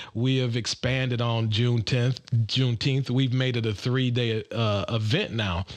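In an ordinary speaking voice, a man with an American accent talks at a fairly slow pace and medium pitch, with fairly even intonation, very even loudness, hardly any pauses and a quiet background. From Detroit, Michigan. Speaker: golf group president. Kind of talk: podcast interview.

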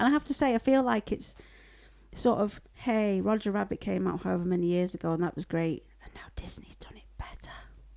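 At a fairly quick pace, a woman with a medium pitch, a slightly mellow tone and vocal fry speaks with fairly even intonation.

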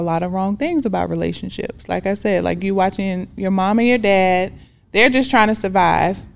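A woman speaks in an ordinary speaking voice with an American accent, her pitch medium and its variation ordinary. The recording is very clean, with a silent background. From Decatur, Georgia, US South. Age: 40s. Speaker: love coach. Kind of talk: interview testimony.

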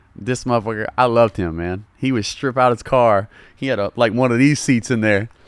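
A man speaks with a Southern US accent at a medium pitch and fairly quick pace. His tone is animated, with ordinary pitch variation. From Louisiana. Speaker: comedy internet creator and car enthusiast. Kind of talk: casual podcast chat. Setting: podcast recorded in a car detailing shop. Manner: casual, joking, animated.

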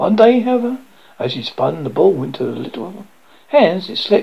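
This is a natural reading voice. The words are read out in that manner.

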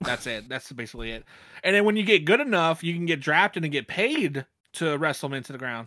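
A man talks at a fairly quick pace in a plain, everyday voice, his pitch fairly high, his intonation lively and his loudness swinging widely, on a very clean recording with a silent background. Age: 30s. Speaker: podcast host. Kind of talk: casual chat.

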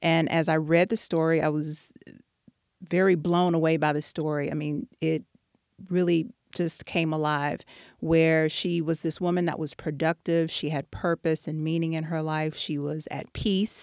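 This woman has a very deep, low pitch. She speaks with an American accent and fairly even intonation. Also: moderate pace, very clean recording, silent background. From Texas. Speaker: author and educator. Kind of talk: interview.

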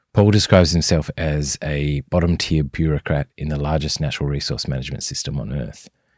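In an Australian accent, the speaker moves at a fairly quick pace on a very clean recording with a silent background. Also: man. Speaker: podcast host. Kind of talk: interview.

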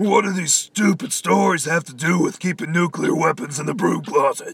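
A man's raspy, put-on character voice, high-pitched for a man, at a moderate pace with big swings in loudness. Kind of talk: gravelly superhero parody. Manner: irritated, exasperated.

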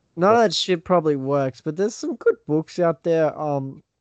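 This man speaks with an Australian accent, recorded with a dry, close sound and no echo. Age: 20s. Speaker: podcast guest, fellow podcaster. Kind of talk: casual chat.

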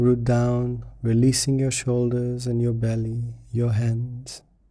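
Speaking at a very slow pace, a man with a medium pitch has a dark, mellow tone that is also gentle and calm. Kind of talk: guided meditation. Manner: slow, calm, soothing; gentle, unhurried with long pauses.

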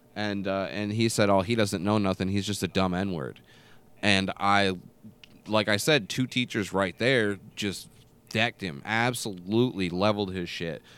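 A man with an American accent uses a normal speaking voice at a moderate pace with ordinary pitch variation. The recording is very clean, with a silent background. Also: fairly low pitch for a man. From small rural US town. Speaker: podcast host. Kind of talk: casual chat.

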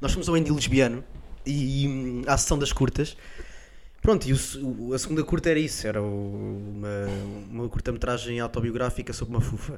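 This man talks at a fairly quick pace and medium pitch, with ordinary pitch variation and long, frequent pauses. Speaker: comedian podcast co-host. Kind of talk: casual comedic chat.

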